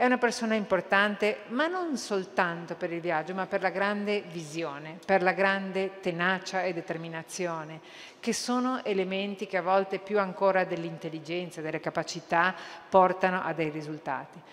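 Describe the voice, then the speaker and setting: This is a woman talking at a moderate pace. Her pitch varies in an ordinary way. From Uruguay. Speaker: cultural institution director; conference speaker. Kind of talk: conference speech. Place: hall. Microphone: podium.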